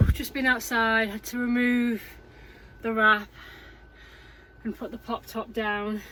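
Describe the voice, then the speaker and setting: Speaking in an English accent, a woman with a fairly high pitch talks at a fairly slow pace with long, frequent pauses and monotone, flat intonation. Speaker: vlogger. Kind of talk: casual vlog narration. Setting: inside a small camping pod in strong wind.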